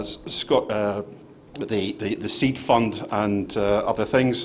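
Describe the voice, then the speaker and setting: In a Scottish accent, a man speaks at a fairly slow pace with ordinary pitch variation and audible room echo. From Scotland. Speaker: conference speaker, angel investment fund manager. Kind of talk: conference presentation. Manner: hesitant, many fillers.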